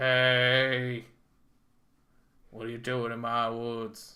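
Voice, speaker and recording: In a put-on character voice, the speaker goes at a very slow pace with monotone, flat intonation. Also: man, medium pitch for a man. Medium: solo performance. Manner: loud, territorial.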